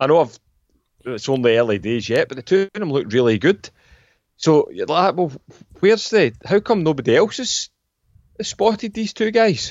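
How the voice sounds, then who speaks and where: This man's high-pitched voice moves at a moderate pace, with very wide pitch swings and long, frequent pauses. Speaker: football podcast co-host. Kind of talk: casual chat.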